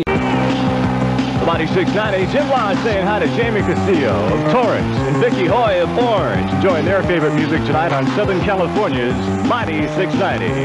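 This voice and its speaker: Over loud background noise, a man talks at a moderate pace with hardly any pauses. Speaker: radio DJ. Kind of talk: radio station aircheck with promos and call-in prizes. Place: studio. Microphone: old recording.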